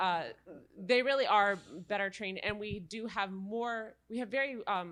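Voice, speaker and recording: At a moderate pace, a woman speaks at a medium pitch with ordinary pitch variation. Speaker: legal aid attorney. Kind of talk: panel discussion. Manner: loud.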